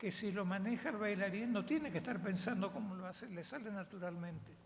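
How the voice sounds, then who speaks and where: A somewhat breathy woman at medium pitch speaks with ordinary pitch variation, with audible room echo around her. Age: 80s+. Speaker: veteran dance teacher. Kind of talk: panel talk.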